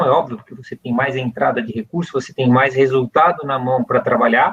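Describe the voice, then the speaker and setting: At a moderate pace, a man speaks with a Brazilian accent. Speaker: company CEO. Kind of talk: interview. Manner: hesitant fillers, repeated words.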